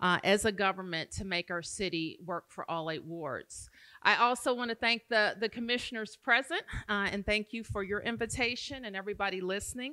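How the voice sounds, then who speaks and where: Against a quiet background, a woman talks fairly quickly in a bright, sharp tone with ordinary pitch variation. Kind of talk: public forum speech. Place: hall. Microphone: podium.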